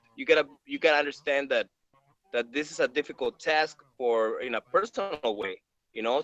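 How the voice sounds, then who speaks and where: A man's fairly high voice in a Spanish accent, moderate in pace with ordinary pitch variation, in a dry, close sound with no echo. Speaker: actor. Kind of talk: casual chat. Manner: halting, repeats words.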